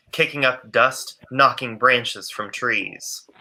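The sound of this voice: Slowly and in a bright, sharp tone, a man speaks.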